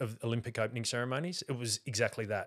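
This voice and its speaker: With an Australian accent, a man talks at a very fast pace in a bright, sharp tone on a very clean recording with a silent background. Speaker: athlete and Pilates instructor. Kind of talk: casual interview chat.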